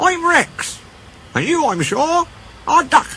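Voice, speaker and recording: A put-on character voice is pitched extremely high and moves at a fairly slow pace. Clear background noise can be heard. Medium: read story. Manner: friendly, teasing.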